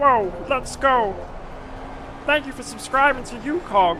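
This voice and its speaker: A put-on character voice, female-sounding and high-pitched, at a fairly slow pace over clear background noise. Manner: put-on, exaggerated impression.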